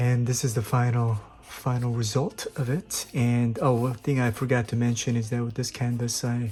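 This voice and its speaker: A man talks in a medium pitch at a moderate pace, his tone dark and mellow and somewhat breathy. His intonation is monotone and flat. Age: 50s. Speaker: amateur painter. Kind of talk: casual talk to camera. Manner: hesitant, many fillers.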